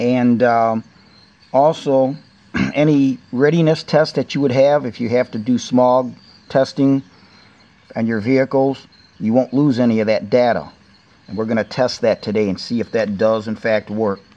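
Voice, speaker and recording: At a moderate pace, a man with a dark, mellow tone and ordinary pitch variation speaks with long, frequent pauses. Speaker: car owner reviewing a product. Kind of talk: tutorial. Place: garage. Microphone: phone near.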